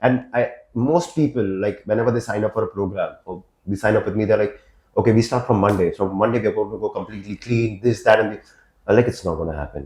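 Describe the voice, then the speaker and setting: A man speaks at a very fast pace with a fairly low pitch and ordinary pitch variation. His voice is somewhat breathy against a quiet background. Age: 30s. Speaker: podcast host and fitness coach. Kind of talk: casual chat.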